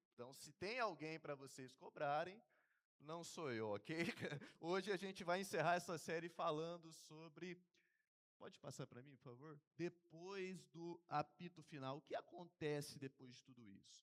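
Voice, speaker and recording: In a normal speaking voice, a man talks at a fairly slow pace with fairly high pitch, ordinary pitch variation and big swings in loudness. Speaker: seminarian preacher. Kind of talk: sermon. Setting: church.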